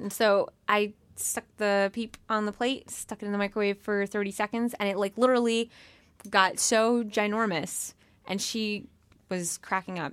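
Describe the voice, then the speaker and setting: Dry and close with no echo, a woman's unremarkable speaking voice sits at medium pitch, with fairly even intonation and a moderate pace. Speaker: podcast host. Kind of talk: casual chat.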